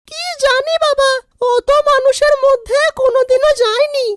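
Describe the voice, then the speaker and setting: A female-sounding cartoonish character voice is pitched extremely high. It moves at a moderate pace. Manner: sharp, scolding.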